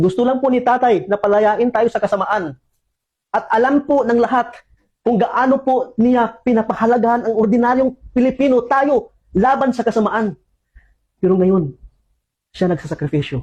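With long, frequent pauses, a man speaks at a moderate pace in an extremely high pitch, with ordinary pitch variation. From Philippines. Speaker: former overseas worker. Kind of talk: public appeal.

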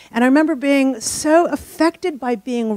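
The pace is moderate. The sound is dry with no echo, over a quiet background. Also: woman. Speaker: physicist and author; speaker. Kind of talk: lecture. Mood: wondering, enthusiastic. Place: hall. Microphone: handheld.

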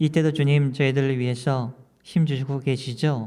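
At a moderate pace, a man uses an ordinary speaking voice with medium pitch and fairly even intonation. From South Korea. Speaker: pastor. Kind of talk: sermon.

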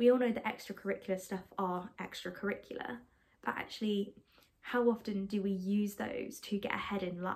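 A woman speaks at a medium pitch with a slightly mellow tone. Her intonation is fairly even and her pace moderate.

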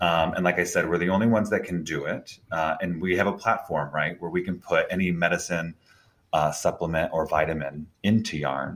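With an American accent, a man speaks at a fairly quick pace in a very deep, low pitch and fairly even intonation. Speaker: marketing executive. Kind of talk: interview. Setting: video call.

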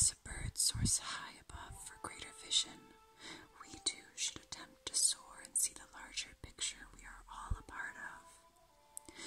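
A fairly slow, unhurried whisper. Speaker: ASMR creator. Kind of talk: ASMR video. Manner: whispered. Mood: calm, gentle, soothing. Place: home room.

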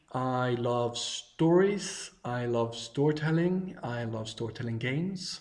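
A man with a Swedish accent speaks at a very slow pace with lively intonation. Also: medium pitch for a man. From Sweden, countryside. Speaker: travel blogger. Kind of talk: video self-introduction. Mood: warm, friendly, enthusiastic. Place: home room. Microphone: webcam.

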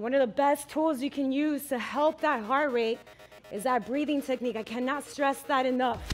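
Faint music in the background beneath a woman speaking at a fairly slow pace. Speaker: fitness instructor. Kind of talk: workout class cueing. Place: gym. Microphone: headset.

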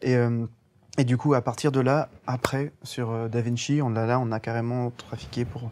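The speaker is a man. He has a dark, mellow tone. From Guadeloupe. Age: young. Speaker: animation film director. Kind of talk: interview. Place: hall.

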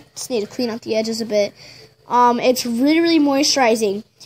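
Against noticeable background noise, a woman's pitch rises and falls in an ordinary way. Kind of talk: casual DIY tutorial talk to camera. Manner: hesitant, stuttering, many fillers.

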